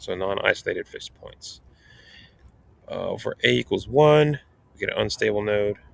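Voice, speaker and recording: Keeping a moderate pace, a man speaks with long, frequent pauses and big swings in loudness. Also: dry, close sound with no echo. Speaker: math instructor. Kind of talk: tutorial.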